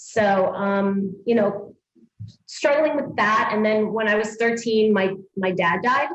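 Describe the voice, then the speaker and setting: With audible room echo, a woman speaks at a fairly high pitch. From New York City (Astoria, Queens), born in Sicily. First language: Italian (Sicilian). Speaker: fitness studio owner and trainer. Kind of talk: interview.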